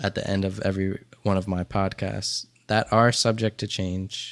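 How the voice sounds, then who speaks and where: In a very clean recording with a silent background, a man with an American accent speaks very slowly at a fairly low pitch, his intonation monotone and flat. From Dover, Delaware, US. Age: 20s. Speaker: podcast host. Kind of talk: solo monologue. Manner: casual.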